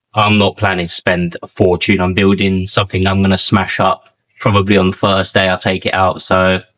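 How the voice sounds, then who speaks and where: A man speaks at a moderate pace with a strong London accent. His pitch is fairly low, and the sound is dry and close with no echo. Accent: strong southeast London. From southeast London. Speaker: car mechanic YouTuber. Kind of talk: casual workshop vlog. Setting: garage workshop. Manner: casual, colloquial.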